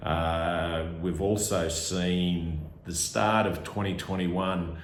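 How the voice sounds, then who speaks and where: A man speaks with an Australian accent in a very deep, low voice. Noticeable background noise is present. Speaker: livestock licensee and auctioneer. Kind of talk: livestock market report commentary.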